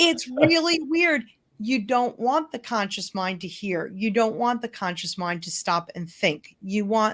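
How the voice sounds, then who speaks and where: A woman with a New York accent, fairly high pitch, very wide pitch swings and a fairly slow pace. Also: very clean recording, silent background. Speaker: hypnotherapist and change coach. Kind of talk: interview.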